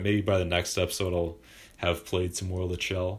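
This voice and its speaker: At a fairly quick pace, a man with a very deep, low pitch speaks somewhat breathily. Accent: Canadian. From Vancouver, Canada. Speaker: gaming podcaster. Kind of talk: casual solo monologue. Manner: halting, many fillers.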